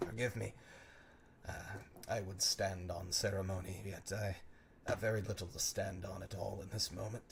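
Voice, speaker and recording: A man's put-on character voice, hoarse, raspy and rumbling, fairly low in pitch, with a weary tone, monotone, flat intonation, moderate pace, long, frequent pauses and clear background noise. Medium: actual play. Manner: weary, formal.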